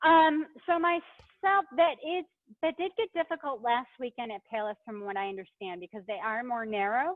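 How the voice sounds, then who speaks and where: A high female voice with very wide pitch swings and big swings in loudness. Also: moderate pace. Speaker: cycling advocacy staff, webinar host. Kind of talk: webinar Q&A. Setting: online webinar from a bike shop. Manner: casual, filler-heavy.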